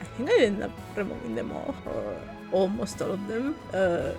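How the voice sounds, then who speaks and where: With music in the background, a woman with a non-native accent speaks at a fairly slow pace. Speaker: game content creator. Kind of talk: casual voiceover commentary. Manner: hesitant, rambling.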